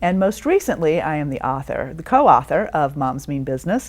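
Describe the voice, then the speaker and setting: In a slight Southern US accent, a woman talks at a fairly quick pace on a very clean recording with a silent background. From Georgia, US South. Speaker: business coach and author. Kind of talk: interview.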